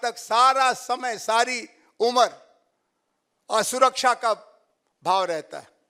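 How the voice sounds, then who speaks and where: In a Bihari accent, a man uses a raised, projected voice with an extremely high pitch, a bright, sharp tone and ordinary pitch variation, captured in a dry, close sound with no echo. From Bhojpuri-speaking north India. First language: Bhojpuri (speaking Hindi). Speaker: professor. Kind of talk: lecture.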